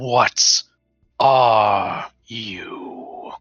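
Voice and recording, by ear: A man puts on a raspy, hissing character voice with a menacing tone. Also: medium pitch for a man.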